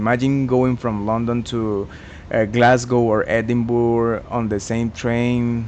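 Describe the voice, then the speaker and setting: Background noise is noticeable. Over it, a man speaks with monotone, flat intonation. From Colombia. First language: Spanish. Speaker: gaming YouTuber. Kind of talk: gameplay commentary. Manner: halting, many fillers and self-corrections.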